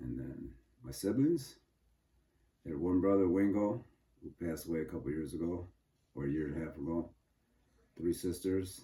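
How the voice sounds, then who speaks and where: A man with an American accent speaks at a moderate pace in a very deep, low pitch. His dark, mellow tone is somewhat breathy. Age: 70s. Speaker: interviewee, father of interviewer. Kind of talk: casual family interview.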